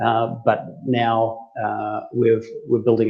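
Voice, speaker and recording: This is a man speaking with an Australian accent. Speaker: tech company CEO. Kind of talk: interview.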